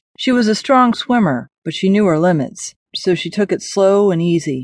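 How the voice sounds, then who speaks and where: A woman's normal speaking voice at a moderate pace, with ordinary pitch variation, against a quiet background. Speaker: audiobook narrator. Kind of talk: dramatic audiobook narration of post-apocalyptic fiction, read aloud. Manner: tense, suspenseful, gravely expressive.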